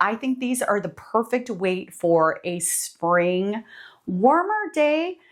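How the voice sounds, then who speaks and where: High female voice, its pitch swinging very widely. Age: 50s. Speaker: fashion vlogger. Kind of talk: casual product talk. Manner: casual, with filler words.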